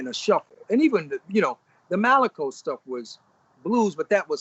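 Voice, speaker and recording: The speaker talks at a moderate pace with a Mississippi accent. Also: man. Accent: US Southern (Mississippi). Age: 60s. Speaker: blues musician. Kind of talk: interview.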